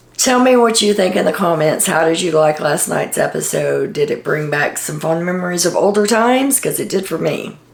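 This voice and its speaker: A woman's fairly low voice at a fairly quick pace with hardly any pauses, noticeable background noise and audible room echo. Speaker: reality TV commentator. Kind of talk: casual video monologue.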